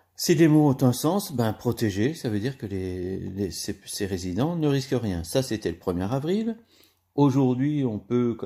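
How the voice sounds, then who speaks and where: Dark and mellow in tone, a man speaks at medium pitch and a fairly slow pace with lively intonation on a very clean recording with a silent background. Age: 60s. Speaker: nursing home maintenance worker and video blogger. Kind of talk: opinion monologue to camera. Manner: halting, with many hesitations.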